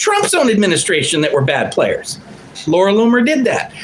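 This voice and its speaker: A high-pitched man in an animated tone, his pitch swinging very widely, with audible room echo and noticeable background noise. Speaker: livestream commentator. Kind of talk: casual livestream monologue. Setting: home studio livestream.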